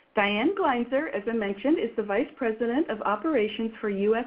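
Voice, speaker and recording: A woman talks at a fairly quick pace with hardly any pauses, in an ordinary speaking voice. Her pitch is fairly high and her intonation is lively. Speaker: webinar host. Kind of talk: webinar introduction.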